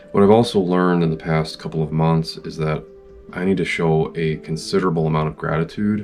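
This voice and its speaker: Music plays in the background. A man with a very deep, low voice speaks at a fairly quick pace. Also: ordinary pitch variation. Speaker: parent. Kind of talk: reflective motivational talk. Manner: unscripted, with fumbles.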